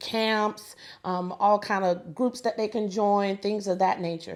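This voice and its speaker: In an ordinary speaking voice, a woman with an American accent talks at a moderate pace and medium pitch on a very clean recording with a silent background. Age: 40s. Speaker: local political candidate. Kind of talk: interview.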